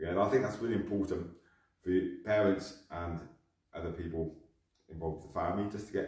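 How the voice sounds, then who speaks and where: Against a quiet background with audible room echo, a man speaks at a very deep, low pitch in a somewhat breathy voice. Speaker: martial arts instructor. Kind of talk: tutorial. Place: gym.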